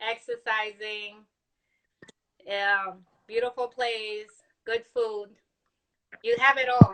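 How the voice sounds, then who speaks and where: Speaking at a very slow pace with long, frequent pauses, a woman delivers her words in a fairly high pitch and a monotone, flat intonation. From Dominican Republic, Puerto Plata. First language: Spanish. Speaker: live stream guest. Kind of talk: casual chat. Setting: live video stream.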